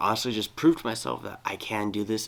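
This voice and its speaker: Fairly low in pitch, a man talks at a fairly quick pace. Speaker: amateur audiobook reader. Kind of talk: casual chat; reading aloud. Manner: halting, stumbles over words.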